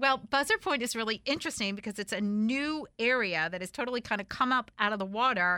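Her pace very fast, a woman speaks in a fairly high voice with lively intonation. The tone is animated. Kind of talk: casual radio show chat. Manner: animated, excitable.

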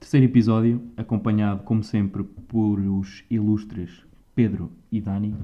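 In a monotone, flat intonation, a man talks fairly slowly at a fairly low pitch. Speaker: podcast host. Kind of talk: casual chat.

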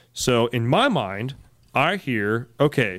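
Music plays behind a man speaking at a medium pitch. He talks with an American accent. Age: 30s. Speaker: diesel podcast co-host. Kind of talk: casual chat.

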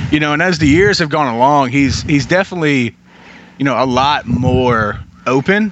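A fairly high-pitched man is heard speaking with noticeable background noise around him. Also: ordinary pitch variation, moderate pace, very even loudness. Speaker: podcast host. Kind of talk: casual chat.

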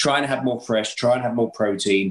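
A man with an English accent speaks at a moderate pace and medium pitch against noticeable background noise. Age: 50s. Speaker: chef and TV presenter. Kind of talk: casual chat.

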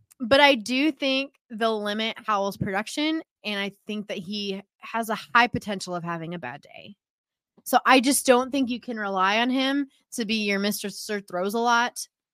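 A woman speaks loudly at a fairly high pitch with ordinary pitch variation and a moderate pace. The recording is very clean with a silent background and a dry, close sound with no echo. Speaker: fantasy football podcast co-host. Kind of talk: casual chat.

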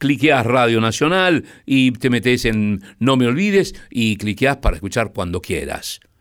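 A man's medium-pitched voice in a Rioplatense accent, lively in intonation, fairly slow with hardly any pauses, on a very clean recording with a silent background. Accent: Argentine Rioplatense Spanish. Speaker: radio host. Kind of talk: late-night radio presenting.

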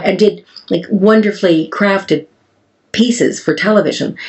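A woman with an ordinary speaking voice, medium pitch, ordinary pitch variation and a fairly quick pace. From Canada. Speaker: farmer and beauty entrepreneur. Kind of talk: interview conversation. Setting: farm in Wales.

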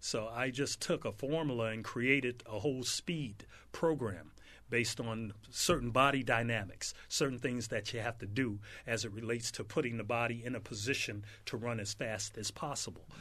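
In a quiet background, a man with an American accent speaks at a moderate pace, his bright, sharp voice set at a medium pitch with ordinary pitch variation. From South Central Los Angeles. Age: 60s. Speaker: former pro football player and speed trainer. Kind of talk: casual interview.

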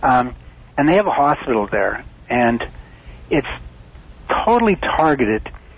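This man talks at a moderate pace with a medium pitch. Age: 60s. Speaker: magnetic field therapy advocate. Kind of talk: interview. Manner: halting.

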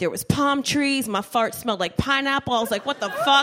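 Over noticeable background noise, a woman with an American accent speaks in a high pitch with ordinary pitch variation. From New Jersey, Trenton. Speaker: stand-up comedian. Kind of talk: stand-up. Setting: stage with audience.

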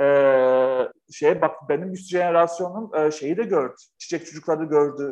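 At a fairly slow pace, a man speaks with hardly any pauses. His fairly high pitch shows ordinary variation. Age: 40s. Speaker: author and company founder. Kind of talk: interview conversation. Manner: animated.

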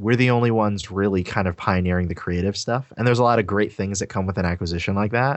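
Very fast and fairly low in pitch, a man with an American accent talks with fairly even intonation. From Trinidad, then US. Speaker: designer and YouTuber. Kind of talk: casual interview chat.

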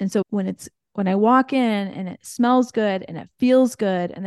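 A woman speaks with a Midwestern American accent at a moderate pace, using ordinary pitch variation. The sound is dry and close with no echo, over a quiet background. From US Midwest, rural Indiana. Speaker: entrepreneur. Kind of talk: interview.

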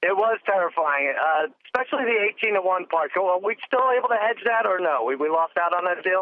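Lively intonation at a fairly quick pace, with very even loudness and hardly any pauses. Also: man, high pitch for a man. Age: 40s. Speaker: sports podcast co-guest, football bettor. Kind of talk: casual chat.

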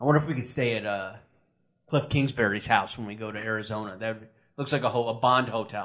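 A man with an American accent talks at a medium pitch. His pace is very fast. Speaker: sports podcast co-host. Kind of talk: casual chat. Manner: flat, deadpan.

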